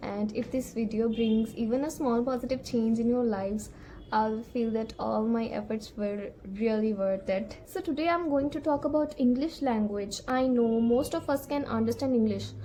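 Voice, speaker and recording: This woman speaks with a Punjabi accent. Her pace is moderate. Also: fairly high pitch for a woman, ordinary pitch variation. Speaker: English-speaking coach. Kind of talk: tutorial. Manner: casual, conversational.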